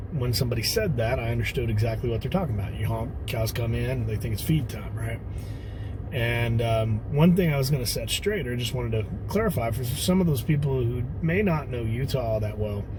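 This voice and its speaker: A man talks at a fairly quick pace. The recording has audible room echo and noticeable background noise. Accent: Texan. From Texas. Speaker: off-road vlogger. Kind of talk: casual vlog talk to camera. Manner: hesitant, many fillers.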